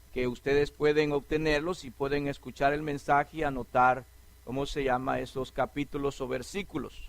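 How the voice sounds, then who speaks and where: Speaking at a fairly slow pace, a man with an unremarkable speaking voice has a fairly high pitch and fairly even intonation. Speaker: preacher. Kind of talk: sermon.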